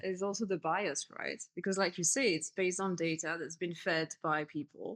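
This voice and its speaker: A woman speaks at a fairly quick pace with a French accent. Her pitch is fairly low. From France. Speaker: community manager and writer. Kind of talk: podcast interview.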